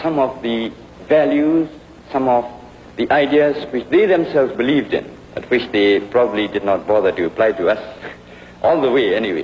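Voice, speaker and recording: A man talks with a Burmese accent. Noticeable background noise can be heard. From Burma (Rangoon). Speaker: history professor. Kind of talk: university lecture.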